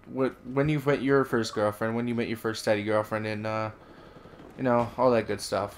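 Moderate pace with an American accent. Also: man. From Wisconsin, US Upper Midwest. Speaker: gaming YouTuber. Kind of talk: casual storytelling monologue. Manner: halting, many fillers.

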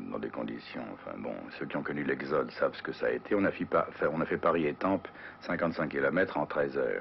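A man speaks over light background noise. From France. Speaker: actor. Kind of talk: interview answer. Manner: casual, hesitant. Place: home room.

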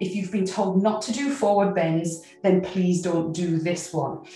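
Faint music plays in the background as a woman speaks with audible room echo. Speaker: qigong instructor. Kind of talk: tutorial. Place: home room.

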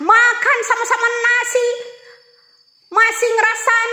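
A woman with a North Sumatran accent, extremely high in pitch, her voice raised and projected, at a moderate pace with fairly even intonation, audible room echo and a quiet background. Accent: Batak-accented Indonesian. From Sumatra, Indonesia. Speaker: political commentator. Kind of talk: heated political rant. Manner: combative, blunt. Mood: defiant, scornful. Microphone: phone near.

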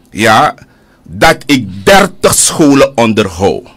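Vocal fry marks this man's speech, and his pitch swings very widely. Behind him, all is quiet. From Suriname. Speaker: politician. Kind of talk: heated debate. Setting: studio. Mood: indignant, combative. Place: studio. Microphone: studio mic.

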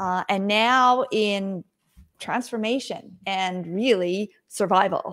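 There is a quiet background behind a woman whose pitch variation is ordinary. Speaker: remote guest. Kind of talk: interview answer. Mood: warm, smiling. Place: home room. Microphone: video call.

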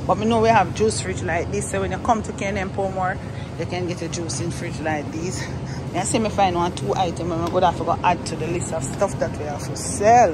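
Someone speaks at a fairly quick pace against loud background noise. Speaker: small shop owner vlogger. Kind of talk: casual vlog chat. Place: shop. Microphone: phone near.

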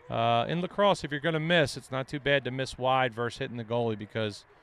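A man speaks at a very fast pace in a medium pitch, with ordinary pitch variation and an animated tone. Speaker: color commentator. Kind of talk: live sports commentary. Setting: broadcast booth at game. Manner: fast, excitable play-by-play analysis, clipped and animated.

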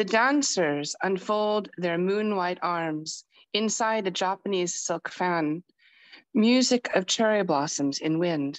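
Her pace is very slow, yet her intonation is lively. The woman's voice sits at a medium pitch. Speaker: open mic reader. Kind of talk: poetry reading.

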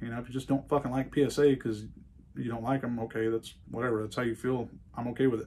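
Over light background noise, a man with a medium-pitched, dark, mellow tone speaks very fast in a monotone, flat delivery. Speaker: gun review YouTuber. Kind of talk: casual rambling review vlog. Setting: indoor shooting range. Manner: casual, rambling, profane. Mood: defiant, ranting. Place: workshop.

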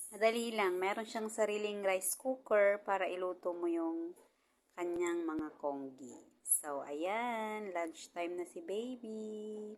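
This woman speaks at a very slow pace. Her pitch is medium, with ordinary pitch variation. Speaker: domestic helper vlogger. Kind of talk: casual vlog tutorial.

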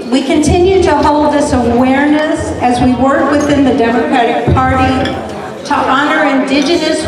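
A woman talks at a moderate pace in a room with audible echo and loud background noise. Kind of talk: welcome speech. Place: hall.

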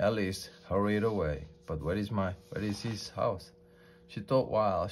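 The speaker reads aloud plainly. Intonation stays fairly even.

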